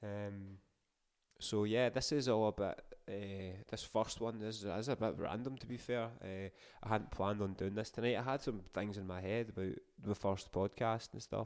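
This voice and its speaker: Recorded very cleanly against a silent background, a man with a Scottish accent speaks in a fairly low pitch with fairly even intonation. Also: moderate pace. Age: 30s. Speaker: podcast host. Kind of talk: casual monologue.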